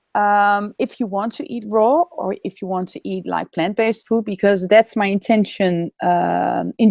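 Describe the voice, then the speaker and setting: With a Dutch accent, a woman speaks at a medium pitch with ordinary pitch variation in a dry, close sound with no echo. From Netherlands. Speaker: raw food and vegan speaker. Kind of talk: webinar interview. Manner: hesitant, with fillers.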